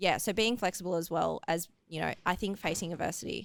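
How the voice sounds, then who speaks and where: With an Australian accent and vocal fry, the speaker moves at a fairly quick pace with ordinary pitch variation. The recording is very clean, with a silent background. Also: woman. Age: 20s. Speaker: athlete, hurdle sprinter. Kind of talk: casual interview chat.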